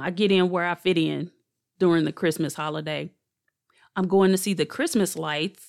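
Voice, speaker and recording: On a very clean recording with a silent background, a woman speaks at a fairly quick pace with a fairly low pitch. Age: 40s. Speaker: podcast host, therapist and doula. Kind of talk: solo podcast monologue. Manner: casual, animated.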